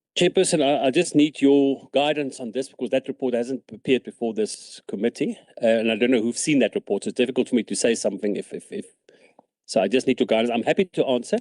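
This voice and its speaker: The speech moves at a very fast pace with lively intonation. It sounds dry and close, with no echo. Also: man, medium pitch for a man. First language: not English. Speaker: provincial cabinet minister. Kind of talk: committee hearing testimony. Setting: committee room.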